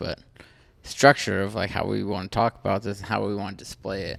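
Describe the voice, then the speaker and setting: A man talks at a moderate pace. His voice carries vocal fry. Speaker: podcast co-host. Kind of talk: casual chat. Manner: loud.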